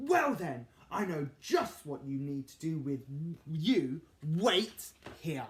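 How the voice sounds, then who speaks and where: Putting on a character voice, a man speaks at a very slow pace with a fairly high pitch. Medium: read story. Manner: growling.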